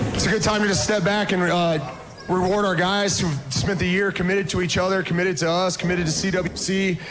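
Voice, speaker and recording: Fairly even intonation comes through noticeable background noise and audible room echo. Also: man. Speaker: college basketball coach. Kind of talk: speech to crowd over PA. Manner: loud.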